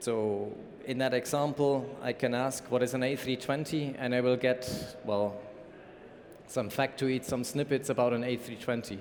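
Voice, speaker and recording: With a German accent, a man speaks at a medium pitch and moderate pace in a monotone, flat delivery. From Germany. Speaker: conference speaker, company information management lead. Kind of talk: conference talk.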